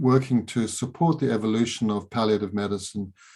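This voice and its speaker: A man with a fairly low pitch talks at a moderate pace. His pitch variation is ordinary. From Southern Africa (Zimbabwe), also England and Middle East. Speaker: psychiatrist. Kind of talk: interview. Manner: halting, many fillers and restarts.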